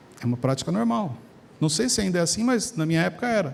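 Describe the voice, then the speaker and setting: A man speaks at a moderate pace. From Brazil, São Paulo area (Carapicuíba). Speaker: preacher. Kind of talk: sermon. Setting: church with congregation. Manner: animated.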